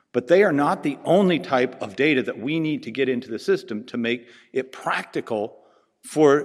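A man with a Pacific Northwest accent speaks with lively intonation. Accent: Pacific Northwest American. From US Pacific Northwest. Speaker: veterinary researcher and conference speaker. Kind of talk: conference lecture. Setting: conference stage with audience. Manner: informal, humorous.

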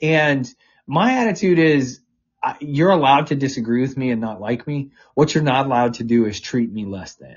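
An ordinary speaking voice, a man at a fairly high pitch with ordinary pitch variation and a moderate pace. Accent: American. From US South. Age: 40s. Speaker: political press secretary. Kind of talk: interview.

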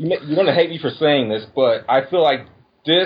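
Somewhat breathy and fairly high in pitch, a man's voice carries the speech. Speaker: caller. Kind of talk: casual chat. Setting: call-in.

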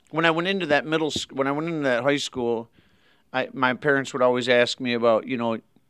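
A man talks at a fairly quick pace in a Michigan accent. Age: 40s. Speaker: pastor. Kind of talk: interview.

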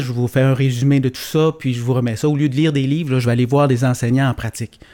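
Dark, mellow tone and fairly even intonation in a man's medium-pitched voice. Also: very clean recording, silent background. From Quebec, Gaspésie. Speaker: teacher turned entrepreneur. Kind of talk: casual chat.

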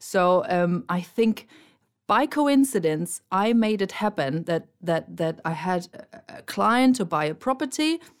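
Here a woman with a German accent speaks at a medium pitch and a fairly slow pace. Her pitch swings very widely, and the recording is very clean, with a silent background. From Germany. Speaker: podcast co-host. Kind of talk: casual chat. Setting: studio.

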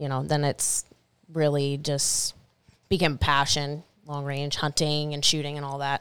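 A woman speaks with an American accent and a very deep, low pitch. The recording is very clean, with a silent background. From Washington State, Stanwood. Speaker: firearms industry sales manager and long-range shooter. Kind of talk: casual chat. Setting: studio.

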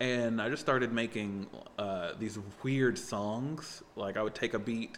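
A normal speaking voice, fairly even in intonation, at a medium speed. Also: man. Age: 30s. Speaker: comedian and musician. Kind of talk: casual chat.

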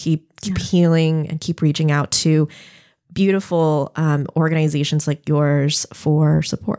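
In a very clean recording with a silent background and a dry, close sound with no echo, a woman speaks fairly slowly with a dark, mellow tone and a very deep, low pitch. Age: 30s. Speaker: podcast host and clinic director. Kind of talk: podcast interview. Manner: hesitant, many fillers.

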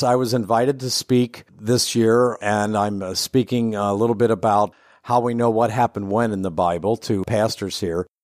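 With a Midwestern American accent, a man speaks at a moderate pace and medium pitch, recorded very cleanly with a silent background and a dry, close sound with no echo. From Ohio, US Midwest. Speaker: theology professor. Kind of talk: interview. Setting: in person at a conference.

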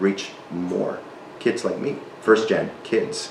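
Noticeable background noise fills the clip. The voice belongs to a man. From South Texas, Mexican border (Reynosa). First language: Spanish. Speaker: nonprofit leader. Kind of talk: casual interview and cooking chat.

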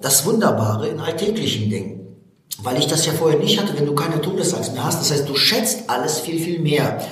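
Fairly high pitch from a man, with audible room echo and noticeable background noise. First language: Russian (speaking German). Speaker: motivational speaker. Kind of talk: interview.

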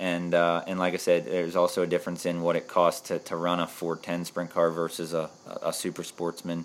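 Recorded very cleanly over a silent background, a man with an American accent and a very deep, low pitch talks at a fairly quick pace. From central Pennsylvania. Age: 30s. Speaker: race car driver. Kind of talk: casual interview.

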